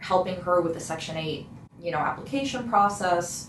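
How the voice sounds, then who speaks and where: In an American accent, a woman talks over noticeable background noise. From South King County, Washington, USA. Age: 20s. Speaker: community organizer and tenant counselor. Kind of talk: interview answer.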